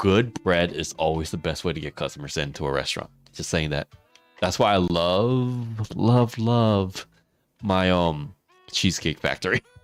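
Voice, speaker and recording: Over music in the background, a man speaks at a moderate pace in a very deep, low pitch with lively intonation. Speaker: gaming streamer. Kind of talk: casual chat. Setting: live stream.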